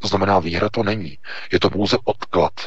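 At a moderate pace, a man speaks in a fairly low voice. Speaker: news portal editor-in-chief. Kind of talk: political commentary. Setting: Skype call.

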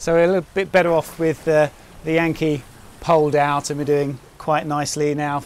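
With a monotone, flat intonation, a man speaks at a moderate pace in a dry sound with no echo. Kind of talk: casual vlog chat. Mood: relaxed, chatty. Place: boat.

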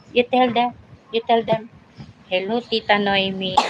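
Noticeable background noise runs under the recording. A woman speaks at a fairly slow pace in a fairly high pitch. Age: old. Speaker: vlogger. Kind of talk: casual live stream chat. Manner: animated.

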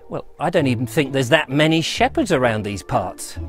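A man is heard with faint music in the background. The sound is dry with no echo. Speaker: presenter. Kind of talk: presenter commentary. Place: garden. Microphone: lapel.

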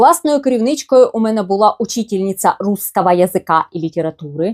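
A woman's ordinary speaking voice at medium pitch, lively intonation and moderate pace, dry and close with no echo. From eastern Ukraine, Luhansk. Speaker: blogger. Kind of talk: personal storytelling.

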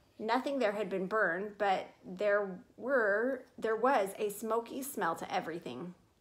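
The reading voice is unforced. Pitch moves by an ordinary amount.

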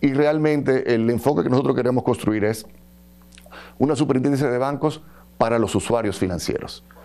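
In a dark, mellow tone, a man talks at a fairly quick pace with ordinary pitch variation, very even loudness, and long, frequent pauses. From Dominican Republic. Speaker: government official, bank regulator. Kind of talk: interview. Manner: hesitant, many fillers. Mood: calm, measured. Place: studio. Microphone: lapel.

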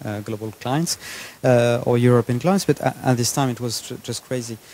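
A man speaks at a moderate pace with a French accent, and the sound is dry with no echo. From France. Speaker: entrepreneur; guest. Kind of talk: fireside chat interview. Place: hall. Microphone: handheld.

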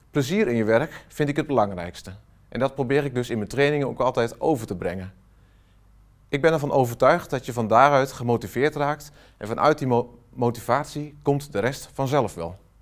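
A man at a moderate pace with ordinary pitch variation and a quiet background. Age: 40s. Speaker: software trainer and consultant; software trainer. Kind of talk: company promo self-introduction. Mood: warm, enthusiastic. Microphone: lapel.

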